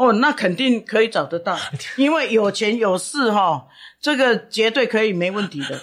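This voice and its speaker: An unremarkable speaking voice belongs to a woman with fairly high pitch, talking at a moderate pace with lively intonation. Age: 60s. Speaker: professional matchmaker. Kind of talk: interview. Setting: on location at her matchmaking agency.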